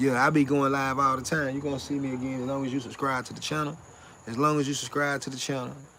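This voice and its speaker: A man speaks at a very fast pace, with noticeable background noise and audible room echo. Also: fairly high pitch for a man. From US South (South Carolina). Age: 30s. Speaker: livestreamer. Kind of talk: casual live stream chat. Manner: repetitive, animated.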